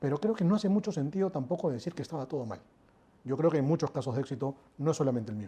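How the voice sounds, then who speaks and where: A man's fairly high, somewhat breathy voice with a dark, mellow tone, lively intonation and a very fast pace. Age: 40s. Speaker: airport company executive. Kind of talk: interview.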